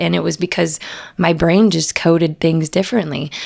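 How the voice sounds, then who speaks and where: With vocal fry in her fairly low voice, a woman speaks at a moderate pace. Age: 30s. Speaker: entrepreneur and women's community founder. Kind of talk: interview.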